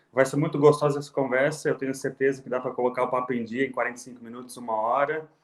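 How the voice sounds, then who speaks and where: Speaking rather quickly, the man keeps a medium-pitched voice with flat, monotone intonation. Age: 20s. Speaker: city councillor. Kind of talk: interview.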